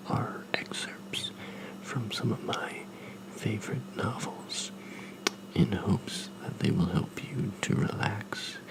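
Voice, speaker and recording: A man whispers at a very slow pace while noticeable background noise plays behind him. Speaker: ASMR creator, new to making videos. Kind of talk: casual welcome to camera, introduction. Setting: recorded with a Blue Yeti USB microphone. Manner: calm, soft-spoken.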